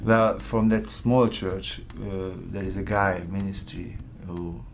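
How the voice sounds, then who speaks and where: With a Hungarian accent, a man with a very deep, low voice speaks very slowly with ordinary pitch variation amid audible room echo. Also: big swings in loudness. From Hungary. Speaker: graphic designer. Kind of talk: testimony. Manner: halting.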